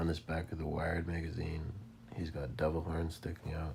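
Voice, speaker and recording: A man speaks at a fairly quick pace with a very deep, low pitch. His voice is somewhat breathy, with audible room echo. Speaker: religious video commentator. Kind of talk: narrated slideshow commentary. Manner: quiet, not very clear; casual, informal.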